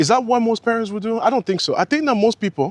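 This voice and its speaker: Here a man speaks in a dry, close sound with no echo. The recording is very clean, with a silent background. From family from abroad, raised in US from childhood. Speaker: commentary YouTuber. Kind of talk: opinion commentary. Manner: conversational.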